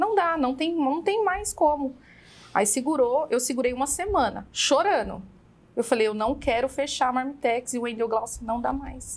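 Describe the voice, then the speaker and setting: Fairly slow pace from a woman, high-pitched, with lively intonation. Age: 30s. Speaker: burger restaurant owner; guest. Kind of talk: interview conversation. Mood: reflective, recounting hard times. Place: studio. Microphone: studio mic.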